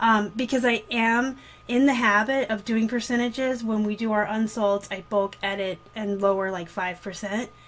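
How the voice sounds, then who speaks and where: Moderate pace and fairly even intonation. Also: woman. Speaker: online reseller. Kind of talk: casual vlog chat. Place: home room. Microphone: webcam.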